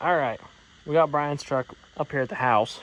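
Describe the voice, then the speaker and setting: Noticeable background noise sits under a man speaking at a moderate pace and a fairly high pitch. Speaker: garage mechanic YouTuber. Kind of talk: workshop vlog. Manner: casual, rambling.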